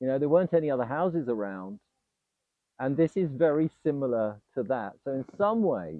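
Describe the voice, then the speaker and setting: The pace is moderate and the pitch medium. This man's pitch swings very widely. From Nigeria (Ibadan). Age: 60s. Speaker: client building a house. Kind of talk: interview testimony. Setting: outdoors at his property. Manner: hesitant, many fillers.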